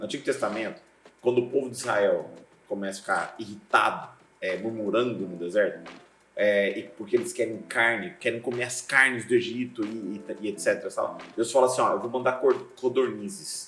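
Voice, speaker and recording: Over music in the background, a man talks at a moderate pace. His pitch is medium, with ordinary variation. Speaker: pastor and seminary teacher. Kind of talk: casual interview chat. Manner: hard to hear clearly.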